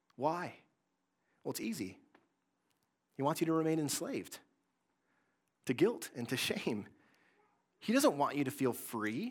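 Fairly high-pitched male speech with an American accent, moderate pace, very wide pitch swings, and long, frequent pauses, on a very clean recording with a silent background. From Michigan, Greater Lansing area. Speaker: pastor. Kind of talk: sermon.

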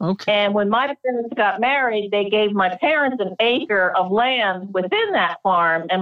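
With an American accent, a woman talks at a fairly slow pace in an ordinary speaking voice, keeping a medium pitch, ordinary pitch variation and very even loudness. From Delaware, US. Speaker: craftswoman and photographer. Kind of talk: interview. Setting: remote call.

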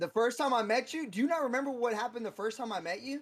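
Pitched extremely high, a man talks at a fast pace with lively intonation.

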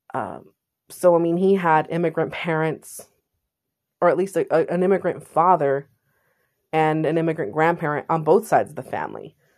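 Against a quiet background, a woman with an American accent speaks in an animated tone at a fairly low pitch. She keeps a moderate pace and takes long, frequent pauses. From California, San Jose. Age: 30s. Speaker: podcaster. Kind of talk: casual monologue.

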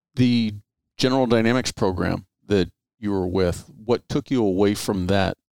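A man with a plain, everyday voice speaks at a moderate pace and a fairly low pitch. His pitch variation is ordinary, and the sound is dry and close with no echo. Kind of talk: interview, conversational.

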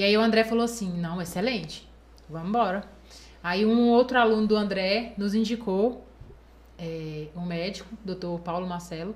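A woman with a medium pitch talks at a fairly slow pace. Her speech has long, frequent pauses. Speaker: bodybuilding competitor. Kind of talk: casual chat. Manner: animated.

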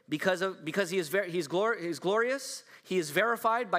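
Fairly quick and high-pitched, a man's bright, sharp voice shows ordinary pitch variation. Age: 40s. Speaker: pastor. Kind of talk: sermon.

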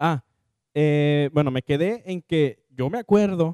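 This man speaks at a fairly high pitch with ordinary pitch variation and a dark, mellow tone, recorded with a dry, close sound and no echo. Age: 20s. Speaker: podcast co-host. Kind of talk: casual chat.

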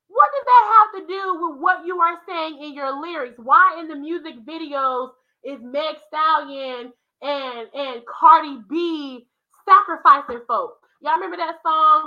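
Speaking fairly slowly, a woman projects an extremely high, bright and sharp voice with ordinary pitch variation and big swings in loudness. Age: 20s. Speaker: religious content creator. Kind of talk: preaching monologue. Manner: animated.

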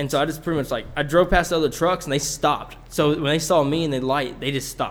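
The man speaks at a fairly quick pace with fairly even intonation. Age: 20s. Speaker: podcast co-host. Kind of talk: casual storytelling. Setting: cold shed recording space. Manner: halting.

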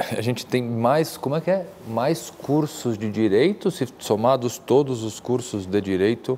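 A man talks at a fairly slow pace with hardly any pauses, his medium pitch carried by lively intonation. Noticeable background noise runs beneath his voice. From Brazil, São Paulo. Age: 40s. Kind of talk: interview conversation.

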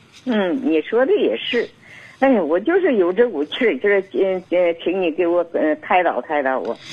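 A woman's medium-pitched voice with very wide pitch swings, a moderate pace, and noticeable background noise. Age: 60s. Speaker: caller. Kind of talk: phone-in advice call.

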